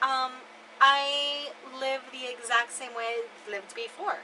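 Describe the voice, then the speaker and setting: A woman's raised, projected voice, high-pitched, with a bright, sharp and animated tone. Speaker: RV vlogger, remote customer support worker. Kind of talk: casual chat. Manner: loud.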